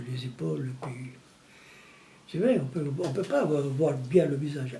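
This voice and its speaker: A man's fairly high-pitched voice amid audible room echo and noticeable background noise. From Tunisia, Italian family. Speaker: retired plumber telling his life story. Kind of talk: documentary interview, life story. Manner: halting, with repetitions.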